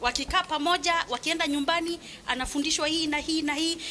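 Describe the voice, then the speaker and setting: A woman speaks at a fairly quick pace in a raised, projected voice over noticeable background noise. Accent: Kenyan. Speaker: parent. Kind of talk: public meeting remarks. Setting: school parents meeting. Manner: loud.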